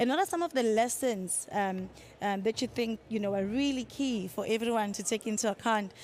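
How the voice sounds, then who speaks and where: On a very clean recording with a silent background, a woman with a Zulu accent speaks fairly quickly at a fairly high pitch with ordinary pitch variation. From South Africa. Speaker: panel moderator. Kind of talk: panel moderation. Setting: conference side event with audience.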